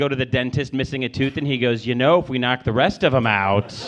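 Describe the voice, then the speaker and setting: A man with an American accent talks very fast at a medium pitch, with hardly any pauses. Noticeable background noise is present. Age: 30s. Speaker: stand-up comedian. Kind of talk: stand-up. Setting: stage with audience.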